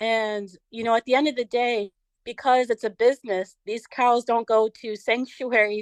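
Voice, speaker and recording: Recorded dry and close with no echo, this unremarkable speaking voice with an American accent moves at a moderate pace with fairly even intonation. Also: woman, quiet background. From United States. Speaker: vegan social media influencer. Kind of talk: podcast interview.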